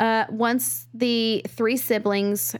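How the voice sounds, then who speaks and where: Woman with an American accent. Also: very clean recording, silent background. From Texas. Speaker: true crime podcast co-host. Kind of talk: casual storytelling chat. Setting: studio, in person.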